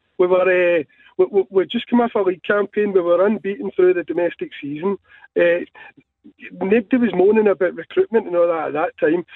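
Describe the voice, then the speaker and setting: A man with a Scottish accent, high-pitched, fairly quick, with ordinary pitch variation. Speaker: football fan caller. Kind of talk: radio phone-in call. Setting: phone call.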